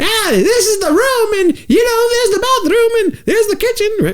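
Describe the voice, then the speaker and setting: This loud, put-on character voice is squeaky and shrill, pitched extremely high. It runs at a moderate pace. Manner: chatty, showing an apartment.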